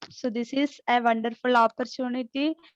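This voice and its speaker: With an Indian accent, a woman speaks in fairly even intonation, the sound dry and close with no echo and the background quiet. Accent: Indian accent, self-described. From India, Kerala. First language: Malayalam. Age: 40s. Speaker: speaker at an online summit. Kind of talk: motivational talk. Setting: video call. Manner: halting, many fillers.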